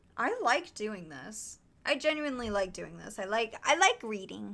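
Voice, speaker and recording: Over a silent background on a very clean recording, a woman talks fairly slowly with vocal fry. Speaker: streamer. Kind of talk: casual chat with live chat, after reading aloud.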